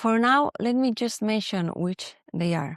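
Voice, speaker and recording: With a Spanish accent, a woman speaks at a fairly slow pace and fairly high pitch with lively intonation, in a dry, close recording with no echo that is very clean against a silent background. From Spain. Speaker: podcast host and professional coach. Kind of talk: podcast monologue.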